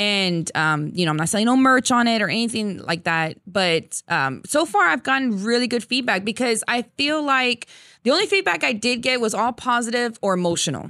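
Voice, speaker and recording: Speaking at a moderate pace with an American accent, a woman uses a fairly high pitch, a bright, sharp tone and very wide pitch swings in a very clean recording with a silent background. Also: hardly any pauses. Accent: Texan American, Tejano. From Texas, San Antonio. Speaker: Tejano singer. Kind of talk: casual interview.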